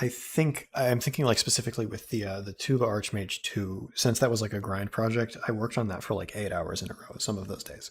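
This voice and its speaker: A man's somewhat breathy voice, medium in pitch with ordinary pitch variation, at a fairly quick pace with hardly any pauses and big swings in loudness. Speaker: music composer streamer. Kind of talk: casual chat.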